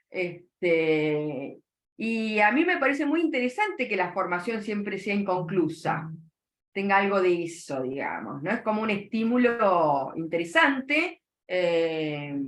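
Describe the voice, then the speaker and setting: A woman with a Rioplatense accent speaks at a medium pitch and a very slow pace. Her pitch swings very widely, and the room echo is audible. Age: 60s. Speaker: psychoanalyst. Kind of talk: interview.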